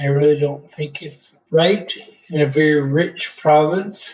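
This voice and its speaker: Very slowly, a man speaks with a Canadian accent. His voice is fairly high, with fairly even intonation. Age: 60s. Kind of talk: interview testimony.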